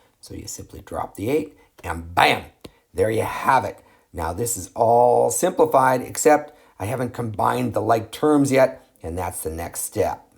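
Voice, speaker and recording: A man talks at a fairly slow pace with a medium pitch, lively intonation and vocal fry. His loudness swings a lot from moment to moment. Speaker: math teacher. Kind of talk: tutorial. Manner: animated.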